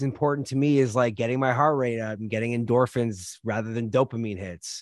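A normal speaking voice from a man at a medium pitch, with fairly even intonation and a dry, close sound with no echo. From Canada. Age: 40s. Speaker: content creator and chef. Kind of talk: interview conversation.

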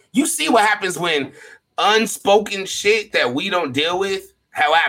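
A man's high-pitched, raised and projected voice, bright and sharp in tone, with lively intonation at a moderate pace. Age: 30s. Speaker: podcast host. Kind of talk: casual chat.

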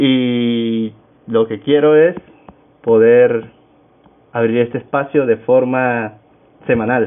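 A man is talking at a medium pitch. He keeps his intonation fairly even. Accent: Venezuelan Andean. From Venezuela, Táchira state. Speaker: podcast host, music student. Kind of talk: casual solo podcast talk.

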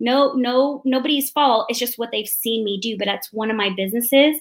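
A woman with an American accent and an unremarkable speaking voice talks at a moderate pace with lively intonation. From Arizona, Mesa. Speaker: real estate investor and speaker. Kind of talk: interview.

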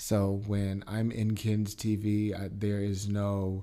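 Very slow and monotone, the voice has a dark, mellow tone and flat intonation. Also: man. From US Midwest, Milwaukee. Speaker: TV news anchor and reporter. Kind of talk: casual interview.

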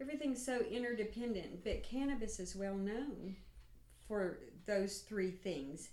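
A woman with an American accent speaks at a fairly slow pace and a fairly high pitch. Her tone is dark and mellow, and her intonation is lively. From Oklahoma, Stigler. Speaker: retired nurse and cannabis activist. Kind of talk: casual interview chat. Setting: lakeside cabin.

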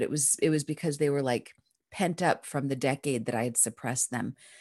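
Over a quiet background, a woman with an American accent talks at a fairly quick pace in a very deep, low pitch, with ordinary pitch variation and a dry, close sound with no echo. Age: 50s. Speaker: dream analyst and author. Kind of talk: interview.

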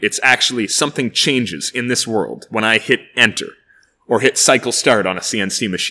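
In a Canadian accent, a man speaks with a bright, sharp tone and ordinary pitch variation on a very clean recording with a silent background. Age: 20s. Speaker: engineer and YouTube entertainer. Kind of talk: casual interview. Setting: workshop. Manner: energetic.

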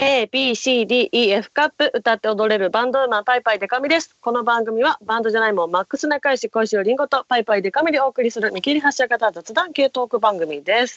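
Using a normal speaking voice, a woman talks at a fairly quick pace and fairly high pitch with lively intonation and hardly any pauses. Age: 20s. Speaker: idol radio co-host. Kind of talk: casual chat. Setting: remote recording. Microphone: connection glitches in parts.

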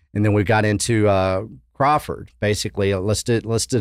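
A man speaks with a Texan accent at a fairly low pitch and ordinary pitch variation, on a very clean recording with a silent background. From West Texas. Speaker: event organizer. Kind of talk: casual chat.

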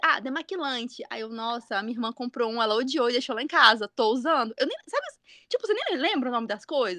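A woman's raised, projected voice, bright and sharp, with very wide pitch swings at a fairly quick pace, in a dry, close sound with no echo. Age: 30s. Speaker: podcast host, mother. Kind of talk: casual chat.

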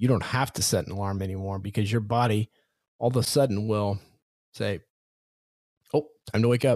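Energetic and animated, a man with a fairly low pitch talks at a fairly quick pace with long, frequent pauses. The recording is very clean, with a silent background. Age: 40s. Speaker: confidence coach and podcast host. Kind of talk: motivational solo podcast monologue. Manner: energetic, animated.

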